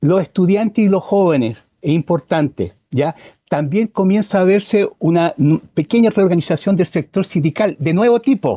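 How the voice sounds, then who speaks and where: A dark, mellow voice in a Chilean accent, at a moderate pace with ordinary pitch variation, very even loudness, hardly any pauses, and a dry, close sound with no echo. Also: man, high pitch for a man. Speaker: environmentalist. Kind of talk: interview conversation. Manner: hesitant with false starts.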